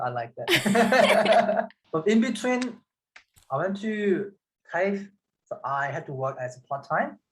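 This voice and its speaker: Speaking with a Korean accent, a man uses a high pitch with very wide pitch swings. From South Korea. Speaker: metal fabricator. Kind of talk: casual chat.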